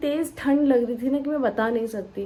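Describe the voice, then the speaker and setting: A woman speaks in a high voice with a dark, mellow tone. Her pitch moves in an ordinary way. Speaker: vlogger. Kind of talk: casual vlog talk. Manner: slow.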